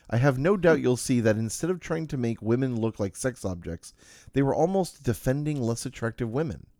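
A man talks at a medium pitch and a fairly quick pace in an unremarkable speaking voice with lively intonation. The recording is very clean, with a silent background. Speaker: podcast host. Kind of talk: casual chat.

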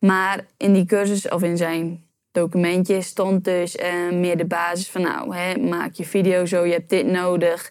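Fairly low in pitch and flat, monotone in intonation, a woman talks at a fairly slow pace with hardly any pauses. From Netherlands, Urk. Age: 20s. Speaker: YouTube entrepreneur. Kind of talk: interview.

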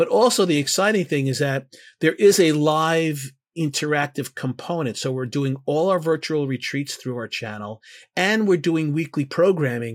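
The voice moves at a moderate pace with ordinary pitch variation. The recording is very clean, with a silent background. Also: man. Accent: New York. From US Northeast, Bronx, New York. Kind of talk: interview. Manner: halting.

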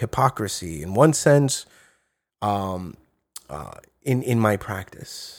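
On a very clean recording with a silent background, a man with a New York accent speaks fairly low in pitch with lively intonation. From New York City, Brooklyn. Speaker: professor. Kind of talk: interview.

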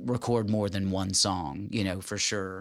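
A man's fairly low voice with fairly even intonation, in a Tennessee accent. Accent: Southern US (Tennessee). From Tennessee (Jackson, West Tennessee). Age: 40s. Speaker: musician. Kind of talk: casual chat.

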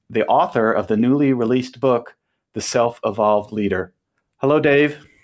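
A man with an ordinary speaking voice talks at a moderate pace, medium in pitch and with fairly even intonation. The recording is very clean, with a silent background. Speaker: podcast host. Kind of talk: interview.

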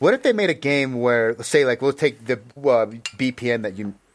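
Dry and close with no echo, a man with an American accent speaks very fast at a medium pitch. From United States. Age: 30s. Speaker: podcast host. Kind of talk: casual interview chat. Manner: animated.

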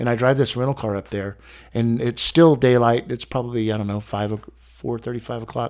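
With an American accent, a man speaks at a fairly quick pace in a plain, everyday voice of medium pitch and fairly even intonation, recorded very cleanly over a silent background. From Texas. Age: 50s. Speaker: collector. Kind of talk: casual interview. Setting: in his home collection room.

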